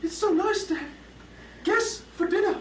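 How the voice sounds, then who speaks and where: In a put-on character voice, the speaker squeaks at an extremely high pitch with a nervous tone and a moderate pace over clear background noise. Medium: short film. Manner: stammering, nervous.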